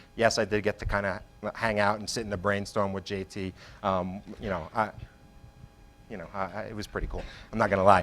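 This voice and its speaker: A man speaks at a fairly quick pace in a fairly low voice with monotone, flat intonation. His loudness swings widely, and he leaves long, frequent pauses. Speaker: marketing executive. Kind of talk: conference talk. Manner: fast.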